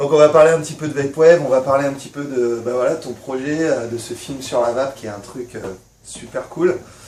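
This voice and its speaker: Over noticeable background noise, a man with a fairly high voice speaks at a fairly quick pace, his intonation fairly even but his loudness swinging widely. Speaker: YouTuber and vape shop owner. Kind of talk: casual vlog and interview. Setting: at the guest's home.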